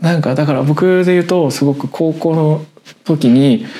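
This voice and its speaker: There is a normal speaking voice from a man at a moderate pace. His pitch variation is ordinary. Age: 20s. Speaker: web writer and podcast co-host. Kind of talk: casual chat.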